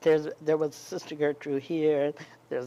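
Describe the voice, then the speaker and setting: A woman speaks in an American accent with a very deep, low pitch. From US South, eastern North Carolina. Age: 80s+. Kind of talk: interview. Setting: live event with audience. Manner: halting, many fillers.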